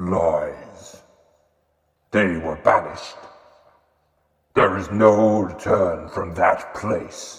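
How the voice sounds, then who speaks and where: This put-on character voice is resonant and moves at a very slow pace. Long, frequent pauses break it up, and there is a clear echo. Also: man, fairly low pitch for a man. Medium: audio drama. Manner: cold, contemptuous.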